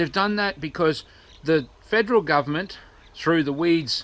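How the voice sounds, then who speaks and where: This man speaks with an Australian accent and ordinary pitch variation. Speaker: activist vlogger. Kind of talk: vlog rant. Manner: fast.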